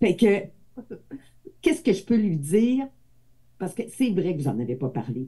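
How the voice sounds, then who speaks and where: A woman speaks with a Quebec accent in a dark, mellow tone that is somewhat breathy. Her pitch swings very widely at a fairly slow pace. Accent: Québécois French. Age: 60s. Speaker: audience member asking a question. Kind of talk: question from the floor.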